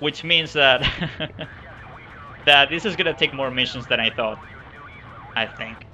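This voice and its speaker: Over background music, a man with a fairly high voice and ordinary pitch variation talks at a moderate pace, leaving long, frequent pauses. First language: not English. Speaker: video game streamer. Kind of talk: gameplay commentary. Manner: hesitant, many fillers.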